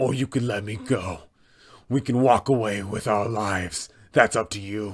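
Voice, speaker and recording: In a put-on character voice, a man sounds raspy and fairly low-pitched, keeping his intonation fairly even. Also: moderate pace. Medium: role play. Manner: menacing.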